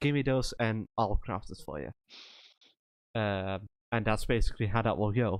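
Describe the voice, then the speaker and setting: Long, frequent pauses break up the speech, which sounds dry and close with no echo. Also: man, fairly low pitch for a man, ordinary pitch variation, moderate pace. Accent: Dutch. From Netherlands. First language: Dutch. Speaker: streamer. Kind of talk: casual chat. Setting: Discord voice chat during live stream.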